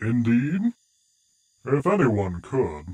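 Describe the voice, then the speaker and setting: A man performs a put-on character voice. His pitch swings very widely. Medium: audio drama. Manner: smooth, playfully taunting.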